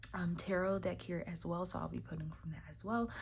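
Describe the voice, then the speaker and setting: Speaking at a fairly quick pace, a woman is heard with audible room echo. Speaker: tarot card reader. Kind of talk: weekly tarot reading to camera. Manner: hesitant, many fillers.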